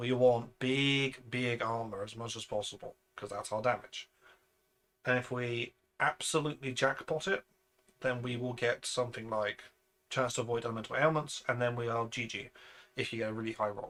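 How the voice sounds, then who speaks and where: In a British accent, a man talks at a medium pitch and moderate pace with fairly even intonation. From Britain. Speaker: video game content creator. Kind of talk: tutorial. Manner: casual, with frequent fillers and restarts.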